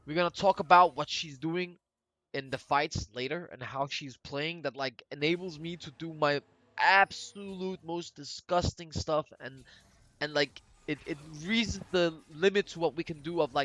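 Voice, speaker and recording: A bright, sharp tone in a Danish accent at a moderate pace, with big swings in loudness. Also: man, fairly high pitch for a man. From Denmark. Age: 20s. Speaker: gaming commentator. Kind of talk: gameplay commentary. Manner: animated.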